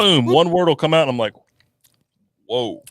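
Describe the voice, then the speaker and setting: Speaking with an American accent, this voice moves at a fairly quick pace with lively intonation. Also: man. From North Carolina, small farm town. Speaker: YouTuber, podcast co-host. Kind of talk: casual chat. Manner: animated.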